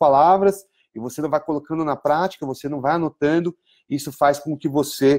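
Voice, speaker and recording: A man's plain, everyday voice, fairly high in pitch, fairly quick, with fairly even intonation. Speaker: English teacher. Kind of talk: online lesson. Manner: conversational, many fillers.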